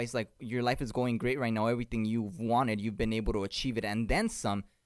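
On a very clean recording with a silent background, a man speaks at a very fast pace with a medium pitch and fairly even intonation. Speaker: podcast co-host. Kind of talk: casual chat. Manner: fast talker.

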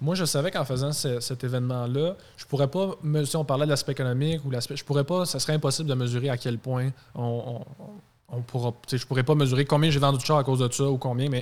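A man talks at a fairly high pitch and a fairly quick pace. He has a normal speaking voice with fairly even intonation. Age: 20s. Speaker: car dealership sales director. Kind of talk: casual chat.

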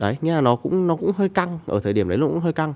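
Very fast speech comes from a man. His pitch swings very widely. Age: 20s. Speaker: TikTok content creator. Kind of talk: casual chat.

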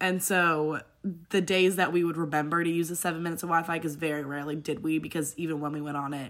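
On a very clean recording with a silent background, a woman with an American accent and a very deep, low pitch speaks at a fairly quick pace. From Netherlands, Hong Kong and Connecticut. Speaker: college student. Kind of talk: interview.

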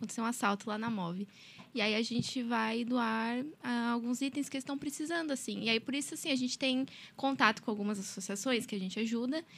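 In a normal speaking voice, the speaker moves at a fairly quick pace with ordinary pitch variation. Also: woman, fairly high pitch for a woman. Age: 20s. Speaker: law student, volunteer group member. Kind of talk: casual chat.

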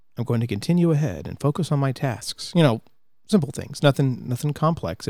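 A man's voice with ordinary pitch variation. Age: 30s. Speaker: podcast host. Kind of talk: casual monologue. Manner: halting.

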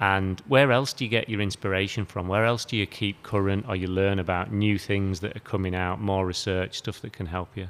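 A man with a British accent talks at a fairly low pitch and a fairly quick pace. His intonation is fairly even, with hardly any pauses. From UK. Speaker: podcast host. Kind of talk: interview.

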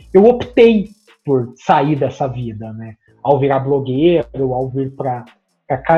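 The voice has a dark, mellow tone and is somewhat breathy. It moves at a fairly slow pace with very wide pitch swings. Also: man. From Brazil, interior of Paraná. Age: 30s. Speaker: sports journalist. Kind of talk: interview.

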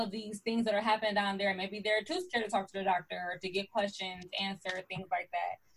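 Speaking at a fairly quick pace, a woman sounds somewhat breathy, with ordinary pitch variation. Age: 20s. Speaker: podcast host. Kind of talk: casual chat. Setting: video call.

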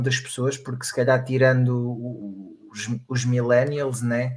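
Fairly slow speech from a man, medium in pitch and somewhat breathy. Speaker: podcast co-host. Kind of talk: casual chat.

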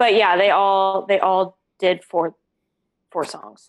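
Her pitch sits in the middle range, with a Canadian accent. The woman's intonation stays monotone and flat. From western Canada (grew up partly in Alberta, moved to Kelowna, BC around age ten). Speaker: singer-songwriter. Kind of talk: casual chat.

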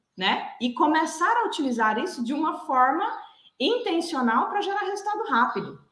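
A woman's bright, sharp voice with very wide pitch swings at a moderate pace, with audible room echo. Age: 30s. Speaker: executive and behavioral coach. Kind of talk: interview.

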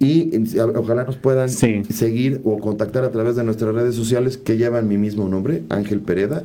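With a dark, mellow tone at medium pitch, a man speaks at a moderate pace with ordinary pitch variation. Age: 40s. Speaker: businessman and local political candidate. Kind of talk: interview.

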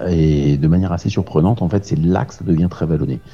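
A man with a very deep, low pitch at a fairly quick pace, amid noticeable background noise. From Paris region, France. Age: 40s. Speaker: amateur ultra-distance cyclist. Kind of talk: interview. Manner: hesitant with fillers.

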